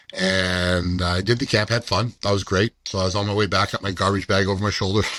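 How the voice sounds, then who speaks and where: In an unremarkable speaking voice, a man talks at a fairly low pitch, recorded dry and close with no echo. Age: 60s. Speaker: amateur football player and author. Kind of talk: interview answer.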